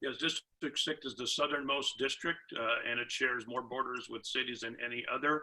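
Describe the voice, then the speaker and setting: A man speaks with an American accent at a moderate pace. His tone is bright and sharp, and his intonation stays flat and monotone. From Santa Clara, California. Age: 60s. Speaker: political candidate, attorney. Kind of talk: candidate forum answer. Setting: video call.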